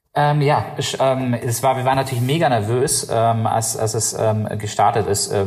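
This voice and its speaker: A man talks at a moderate pace with a medium pitch and fairly even intonation, barely pausing. Noticeable background noise runs underneath. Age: 30s. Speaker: company founder and CEO. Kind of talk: interview. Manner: halting, many fillers.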